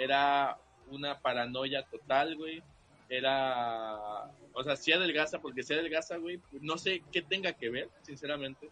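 A man with a normal speaking voice talks at a fairly slow pace, his pitch fairly high and its variation ordinary. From Veracruz port, Mexico. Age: young. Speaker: podcast guest. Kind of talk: casual chat.

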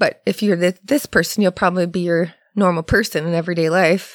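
A woman with a plain, everyday voice, medium pitch, fairly even intonation and a fairly quick pace, in a very clean recording with a silent background and a dry, close sound with no echo. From Ontario, Canada. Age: 40s. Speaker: massage therapist. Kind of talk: casual chat. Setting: studio.

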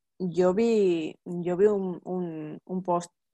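Dry and close with no echo, a woman's voice has a dark, mellow tone, medium pitch and fairly even intonation. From Basque Country, San Sebastián. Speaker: podcast host, mother. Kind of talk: casual interview. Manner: halting, many fillers and repetitions.

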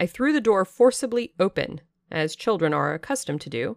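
A woman with a plain, everyday voice and lively intonation talks at a moderate pace in a very clean recording with a silent background and a dry, close sound with no echo. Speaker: audiobook narrator podcaster. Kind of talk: dramatic first-person reading aloud of a gothic novel, in the voice of the narrator.

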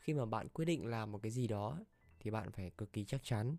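A man talks at a fairly quick pace in a dark, mellow tone, his pitch moving in an ordinary way. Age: 20s. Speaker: podcast host. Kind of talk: personal monologue, casual talk. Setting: at own computer desk.

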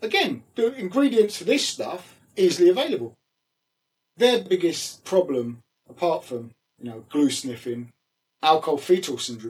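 With a London accent, a man speaks in a high pitch with very wide pitch swings and long, frequent pauses. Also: moderate pace. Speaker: former pro wrestler. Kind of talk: casual interview chat.

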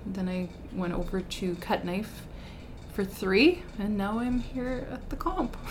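A woman with a Canadian Prairies accent speaks at a fairly slow pace with ordinary pitch variation. Audible room echo and noticeable background noise are present. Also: medium pitch for a woman. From rural Saskatchewan, near Belle Plaine. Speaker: school vice principal. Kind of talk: casual interview chat.

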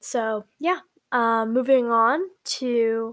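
Her pitch is fairly high and her intonation fairly even. The woman is captured in a very clean recording with a silent background. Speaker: podcast host. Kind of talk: solo reflective monologue. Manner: halting, many fillers and restarts.

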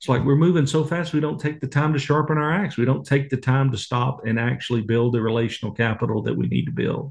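In a Texas accent, a man speaks at a very fast pace with hardly any pauses, his voice somewhat breathy. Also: medium pitch for a man, ordinary pitch variation. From Texas (Waco). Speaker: ministry leader, author and speaker. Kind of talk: interview conversation.

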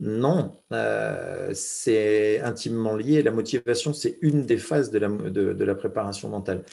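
A man talks at a very slow pace with hardly any pauses. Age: 40s. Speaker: former mountain rescuer, business speaker. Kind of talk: casual interview. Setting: podcast interview. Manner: halting, repeats words.

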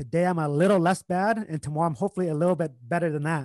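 In a Vietnamese accent, the speech comes at a very fast pace with a dry, close sound and no echo. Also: man, quiet background. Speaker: entrepreneur and investor. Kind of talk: casual interview.

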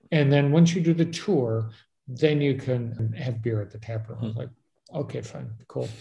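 At a moderate pace, a man speaks with a dark, mellow tone that is somewhat breathy. His pitch variation is ordinary, but his loudness swings widely. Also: medium pitch for a man. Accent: American. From Chicago, US. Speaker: travel podcast host. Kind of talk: casual interview chat.

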